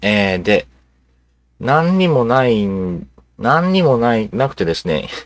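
In a very clean recording with a silent background, a man speaks at a medium pitch with very wide pitch swings. His pace is very slow, with long, frequent pauses. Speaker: video channel host. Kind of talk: casual monologue on politics. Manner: rambling, filler-heavy, casual; self-described uninformed.

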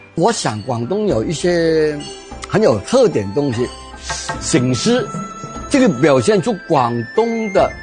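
Clear music plays in the background. A man speaks very slowly with very wide pitch swings. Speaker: university professor, expert in Cantonese culture. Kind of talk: interview answer. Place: cafe.

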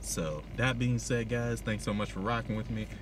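A man talking at a fairly quick pace, in a dry sound with no echo, over noticeable background noise. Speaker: reaction vlogger. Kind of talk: casual vlog chat. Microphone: phone near.

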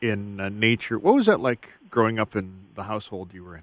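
A man is speaking. The sound is dry with no echo. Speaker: radio host. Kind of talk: radio interview. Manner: formal. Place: studio.

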